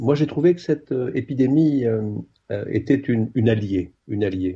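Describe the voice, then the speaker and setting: A man talks at a fairly slow pace and sounds somewhat breathy. His intonation is lively. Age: 60s. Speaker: psychiatrist. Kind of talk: remote radio discussion. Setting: remote call. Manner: hesitant.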